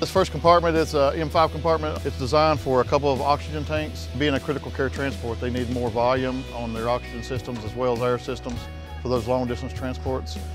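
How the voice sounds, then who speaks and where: Over clear background music, the voice races along at a very fast pace with very wide swings in pitch, the sound dry and free of echo. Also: man, very deep, low pitch for a man. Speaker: ambulance sales director. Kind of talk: product walkaround tour. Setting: trade show floor. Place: hall.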